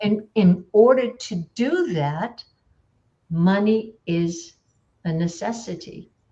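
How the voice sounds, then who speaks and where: A woman speaks at a very slow pace with long, frequent pauses. Her tone is dark, mellow and somewhat breathy, with lively intonation. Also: medium pitch for a woman. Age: 60s. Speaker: life coach. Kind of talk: group coaching discussion.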